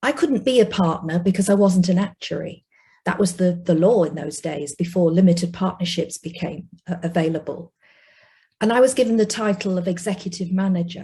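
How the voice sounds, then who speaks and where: Speaking at a fairly quick pace with a Yorkshire accent, the voice has a dark, mellow tone, is somewhat breathy, and shows ordinary pitch variation. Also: woman, medium pitch for a woman. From northern England (South Yorkshire, Rotherham). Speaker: investment industry executive. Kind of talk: personal testimony.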